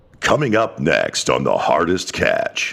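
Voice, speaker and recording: The speaker is a man in a put-on character voice. He moves at a fairly slow pace. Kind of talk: announcer. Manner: dramatic.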